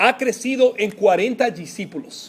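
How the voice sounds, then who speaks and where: A man's extremely high-pitched voice with a Spanish accent. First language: Spanish (speaking Portuguese). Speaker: pastor. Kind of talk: sermon. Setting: church. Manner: halting, mixes Spanish words.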